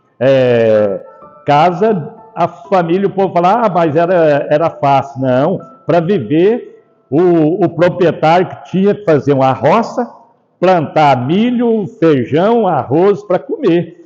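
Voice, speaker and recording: Music plays behind a man who speaks very slowly in a high pitch with lively intonation. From Brazil, Mineiros, Goiás (rural). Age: 80s+. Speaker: Rotary club member telling life story. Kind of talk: life story testimony. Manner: halting, with many fillers.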